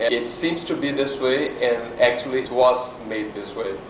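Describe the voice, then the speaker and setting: A man speaks at a moderate pace in a Brazilian Portuguese accent, his pitch medium. Noticeable background noise and audible room echo fill the recording. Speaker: artist. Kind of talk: lecture. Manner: halting.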